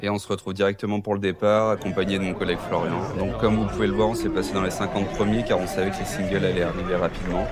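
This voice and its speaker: At a fairly quick pace, a man with a fairly low pitch speaks amid noticeable background noise and audible room echo. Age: 30s. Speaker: amateur trail runner, vlogger. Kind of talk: vlog narration. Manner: casual, with fillers.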